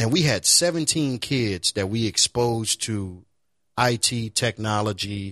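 A man's fairly low-pitched voice with a bright, sharp tone, on a very clean recording against a silent background. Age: 30s. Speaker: IT professional and nonprofit founder. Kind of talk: casual chat.

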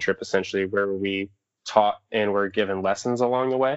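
A man with a normal speaking voice and an American accent talks at a moderate pace in a fairly low pitch with fairly even intonation, the sound dry and close with no echo against a quiet background. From Southwest Michigan. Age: 20s. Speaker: outdoor educator and raft guide. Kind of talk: casual chat.

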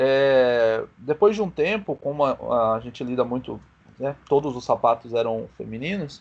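A man with an unremarkable speaking voice talks at a fairly slow pace. His pitch is medium, with ordinary pitch variation. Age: 20s. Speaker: small business owner. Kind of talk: casual chat.

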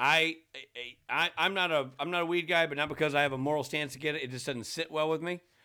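Speaking at a very fast pace, a man with a fairly high pitch keeps a fairly even intonation and a bright, sharp tone. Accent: American. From Tennessee, US. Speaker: podcast co-host. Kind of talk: casual chat. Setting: video call.

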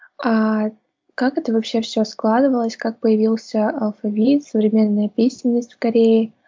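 A woman with a fairly high pitch speaks in a flat, monotone way. Her voice is somewhat breathy. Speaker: podcast host. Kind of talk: casual interview chat.

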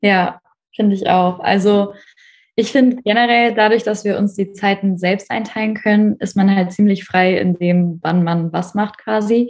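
A woman with a normal speaking voice talks at a fairly slow pace, medium in pitch and with fairly even intonation. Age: 20s. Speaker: university student and working student. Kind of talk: casual interview chat.

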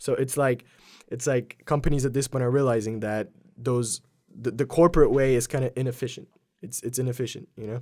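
A man's dark, mellow voice on a very clean recording with a silent background. He talks at a fairly quick pace with fairly even intonation. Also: medium pitch for a man. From Poland. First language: Polish. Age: 20s. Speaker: videographer and media company owner. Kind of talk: casual chat. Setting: studio.

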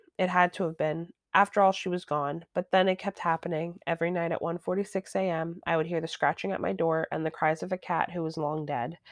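A woman's fairly low pitch at a fairly quick pace, with fairly even intonation and a dry, close sound with no echo. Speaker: podcast co-host reading stories. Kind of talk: creepypasta horror narration, read aloud. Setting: remote recording session. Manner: casual, chatty, reacts with groans and laughs.

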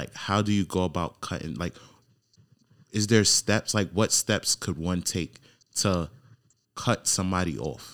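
A man with an American accent speaks at a fairly slow pace in a very deep, low pitch, with vocal fry and ordinary pitch variation. His long, frequent pauses sit in a very clean recording with a silent background. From New York. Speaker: podcast host. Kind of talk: casual interview chat.

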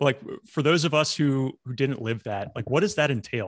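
A man with an ordinary speaking voice at a moderate pace, with ordinary pitch variation, in a dry, close sound with no echo and a quiet background. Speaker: podcast host and former helicopter pilot. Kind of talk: podcast interview.

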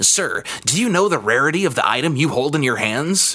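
A man puts on a character voice at a fairly high pitch. His intonation is lively and his pace fairly quick.

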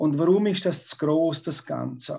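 This man speaks at a fairly high pitch. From Switzerland, Graubünden. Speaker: local politician, retired teacher. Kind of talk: debate. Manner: halting.

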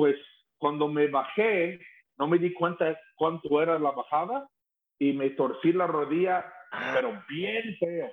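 A man speaks at a fairly slow pace in a high voice. His pitch varies in an ordinary way. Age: 50s. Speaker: rock singer. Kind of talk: casual chat. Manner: halting.

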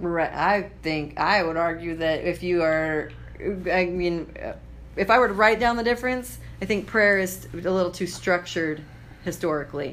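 In an American accent, a woman talks at a moderate pace with a fairly low pitch. Her pitch varies in an ordinary way, and room echo is audible. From Idaho, US. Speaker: podcast host, comedian and entrepreneur. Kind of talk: casual chat.

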